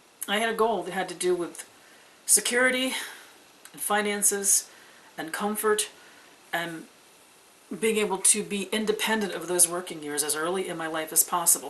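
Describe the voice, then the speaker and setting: Noticeable background noise sits behind a woman speaking. She leaves long, frequent pauses, with ordinary pitch variation. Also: medium pitch for a woman, moderate pace, big swings in loudness. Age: 60s. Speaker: pagan video blogger. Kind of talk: casual vlog monologue.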